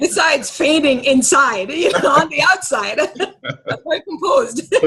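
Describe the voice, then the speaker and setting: A woman's high, raised, projected voice with very wide pitch swings, very even loudness and a fairly slow pace, over noticeable background noise. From Kingston, Jamaica. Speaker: actress and radio host. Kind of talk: interview answer.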